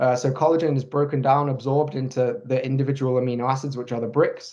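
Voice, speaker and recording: With monotone, flat intonation, a man talks at a medium pitch. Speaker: sports nutritionist. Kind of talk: webinar presentation. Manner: fast; halting, many fillers.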